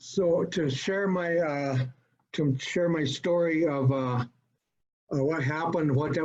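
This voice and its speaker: With fairly even intonation, a man talks at a very slow pace. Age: 70s. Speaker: recovering alcoholic speaker at support group. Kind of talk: personal testimony. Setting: video call. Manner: halting, many fillers.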